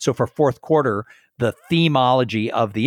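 Recorded very cleanly with a silent background and a dry, close sound with no echo, a man with a General American accent speaks at a moderate pace in a medium pitch with ordinary pitch variation. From Southern California. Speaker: speaker and podcast host. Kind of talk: interview conversation. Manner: conversational.

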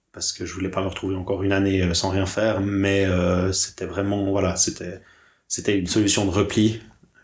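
Fairly low in pitch, a man talks at a fairly quick pace with a monotone, flat delivery and some breathiness, on a very clean recording with a silent background. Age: 30s. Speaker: graphic designer. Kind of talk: interview conversation.

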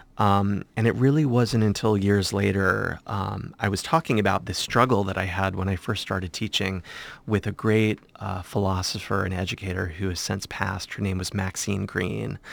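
On a very clean recording with a silent background, a man with an American accent speaks in a fairly low pitch with vocal fry. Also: ordinary pitch variation, moderate pace. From southwestern Virginia, US (small Blue Ridge town). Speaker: art gallery director and professor. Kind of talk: interview.

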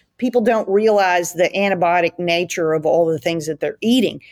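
Recorded dry and close with no echo, a woman speaks in a normal speaking voice at medium pitch with ordinary pitch variation. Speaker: gut health researcher. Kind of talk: interview conversation.

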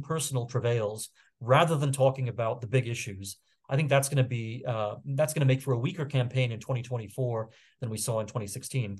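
At a fairly quick pace, a man talks in a medium pitch and sounds somewhat breathy. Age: 40s. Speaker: political commentator and magazine editor. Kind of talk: casual interview. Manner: halting with many fillers.

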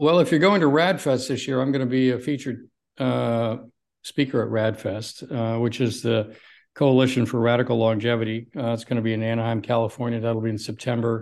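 A man with a plain, everyday voice speaks at medium pitch and a fairly quick pace, with fairly even intonation and a quiet background. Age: 60s. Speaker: cardiologist and longevity doctor. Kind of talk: interview.

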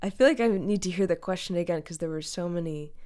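Recorded very cleanly against a silent background, a woman speaks in a dark, mellow tone with ordinary pitch variation. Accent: American. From Western Massachusetts, the Berkshires. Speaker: songwriter and musician. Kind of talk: casual interview chat. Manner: halting, many fillers.

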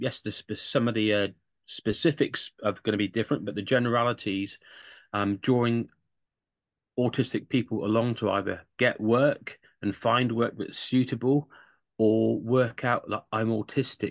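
A man with an English accent speaks at medium pitch and a moderate pace. His intonation stays fairly even. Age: 50s. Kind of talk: interview.

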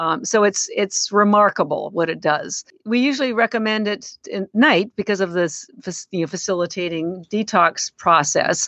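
An unremarkable speaking voice at a moderate pace. The pitch varies in an ordinary way. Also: woman, medium pitch for a woman. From Canada. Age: 60s. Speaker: company founder. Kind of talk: casual interview.

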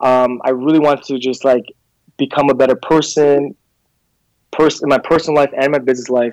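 This man talks at a fairly quick pace, his pitch fairly high for a man. His intonation is monotone and flat, broken by long, frequent pauses. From Slovakia. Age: 30s. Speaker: entrepreneur. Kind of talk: interview.

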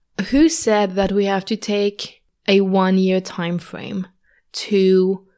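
Speaking very slowly at a medium pitch, a woman is heard on a very clean recording with a silent background. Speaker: spiritual mindset and business coach. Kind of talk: solo podcast talk, coaching advice.

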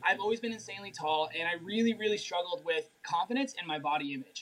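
With an American accent, a man speaks at a very fast pace and a high pitch. His intonation is lively, and background noise is noticeable. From Colorado, US. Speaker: health and mindset coach. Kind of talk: live-stream interview.

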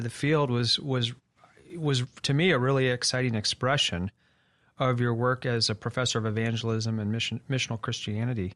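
A man with a normal speaking voice, medium pitch, ordinary pitch variation, and a fairly quick pace. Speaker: interviewer and executive director. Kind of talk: interview conversation.

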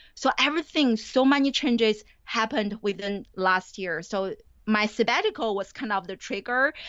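A woman speaks at a moderate pace with a Chinese accent. Her pitch sits fairly high. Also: ordinary pitch variation. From China. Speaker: college professor. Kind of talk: interview.

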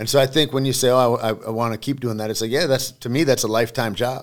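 A man with an American accent speaks at a very fast pace with fairly even intonation. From Michigan. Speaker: actor and former MMA fighter. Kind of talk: casual chat. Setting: studio.

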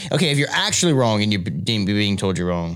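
The voice swings very widely in pitch. It moves at a very fast pace. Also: man. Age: young. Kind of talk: casual chat.

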